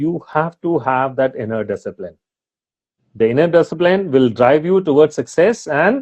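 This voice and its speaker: His pitch swings very widely. The man speaks at a fairly slow pace. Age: 60s. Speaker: retired army officer, motivational speaker. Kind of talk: interview. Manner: hesitant fillers, code-switching Hindi-English.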